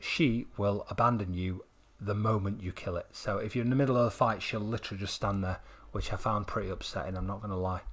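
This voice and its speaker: A man with a Mancunian accent speaks at a fairly quick pace in a fairly low, somewhat breathy voice with fairly even intonation. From northern England, Manchester. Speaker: gaming streamer. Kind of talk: live stream commentary. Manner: halting, repetitive.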